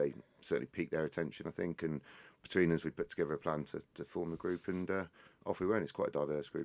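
Very deep and low in pitch, a man talks at a very fast pace with vocal fry and fairly even intonation, in a dry, close sound with no echo. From England, Northamptonshire. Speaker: hemp company CEO. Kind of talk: interview.

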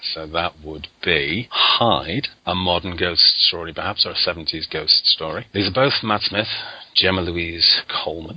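With a Lancashire accent, a man with a very deep, low pitch and ordinary pitch variation speaks at a fairly slow pace against noticeable background noise. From Lancashire, northern England. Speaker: podcast host. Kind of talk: casual chat.

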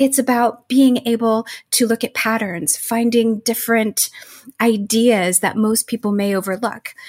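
A woman with an unremarkable speaking voice talks at a fairly slow pace, her fairly high pitch held in fairly even intonation, in a dry, close recording with no echo. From US, Mexican-American family. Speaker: education nonprofit executive, former literature scholar. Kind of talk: interview.

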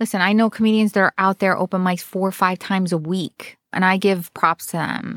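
Speaking with a New Jersey accent, a woman talks at a fairly quick pace in an animated tone with hardly any pauses. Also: medium pitch for a woman, dry, close sound with no echo, very clean recording, silent background. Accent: New Jersey American. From New Jersey, US Northeast. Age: 40s. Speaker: comedian. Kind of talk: casual interview chat. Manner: animated, laughs often.

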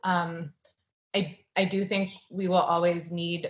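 A somewhat breathy woman's voice with a fairly low pitch. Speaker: novelist and editor. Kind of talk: author reading and conversation. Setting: video call.

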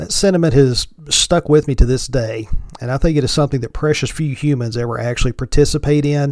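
With an Appalachian accent, a man talks at a very fast pace. His pitch is fairly high. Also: ordinary pitch variation. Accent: Appalachian Southern US. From Virginia mountains, Appalachia. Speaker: podcast host. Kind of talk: solo podcast intro, casual monologue. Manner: joking, casual.

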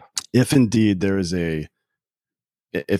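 In an American accent, a man speaks. The recording is very clean with a silent background, dry and close with no echo. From US South, South Carolina. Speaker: podcast co-host, military veteran. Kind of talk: casual interview. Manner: calm.

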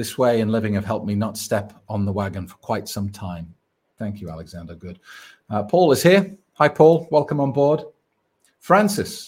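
In a very clean recording with a silent background, a somewhat breathy man speaks at a moderate pace and fairly low pitch, with lively intonation and big swings in loudness. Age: 40s. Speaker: sobriety coach. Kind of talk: live stream Q&A.

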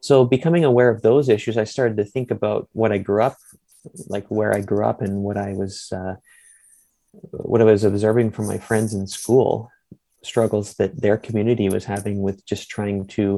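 Here a man speaks with a Canadian accent, in a dark, mellow tone at a fairly low pitch. His pace is moderate and his intonation fairly even. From Ontario, Bruce Peninsula (Owen Sound). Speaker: typeface designer and researcher. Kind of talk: interview.

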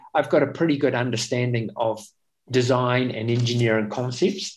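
A man with a New Zealand accent speaks at a moderate pace and a medium pitch. His intonation stays fairly even. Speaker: espresso machine company founder, former racing cyclist. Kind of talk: interview.

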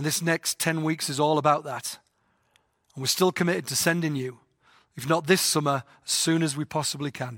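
A man with an English accent and a fairly high pitch, moderate pace and fairly even intonation, on a very clean recording with a silent background and a dry, close sound with no echo. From England. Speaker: mission organization president. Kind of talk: talk to volunteers.

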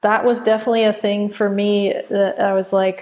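A woman talks in an ordinary speaking voice at a medium pitch. Her pace is moderate, with ordinary pitch variation. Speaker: podcast co-host. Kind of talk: casual film discussion podcast.

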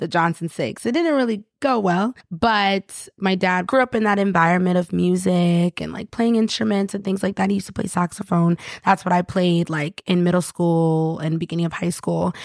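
With an American accent, a woman talks at a moderate pace and medium pitch in a normal speaking voice, with ordinary pitch variation, hardly any pauses, and a dry, close sound with no echo on a very clean recording with a silent background. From upstate New York, Rochester. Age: 20s. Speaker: singer. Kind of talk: casual interview.

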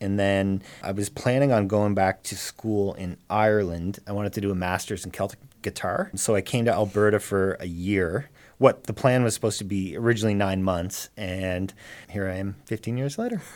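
Fairly low in pitch, a man uses an unremarkable speaking voice at a moderate pace with fairly even intonation. The recording is very clean, with a silent background. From Cape Breton, Nova Scotia, Canada. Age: 30s. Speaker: musician and small business owner. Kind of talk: casual interview. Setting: studio.

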